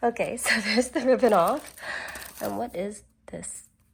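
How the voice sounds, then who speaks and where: Noticeable background noise surrounds the recording. A woman speaks at a moderate pace. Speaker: beauty and fashion vlogger. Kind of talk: casual unboxing vlog.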